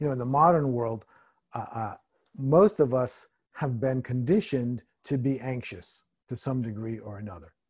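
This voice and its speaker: At a moderate pace, a man speaks with a medium pitch, ordinary pitch variation and a somewhat breathy quality. His loudness swings widely against a quiet background. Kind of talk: guided meditation.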